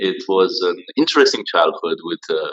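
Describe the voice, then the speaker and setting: A man speaks in a Romanian accent. His pace is fairly slow. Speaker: social media entrepreneur. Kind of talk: interview.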